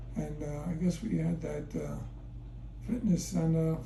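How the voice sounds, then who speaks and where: A man speaking at a fairly slow pace over noticeable background noise. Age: 80s+. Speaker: retired fitness center owner and marathon runner. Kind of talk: interview answer.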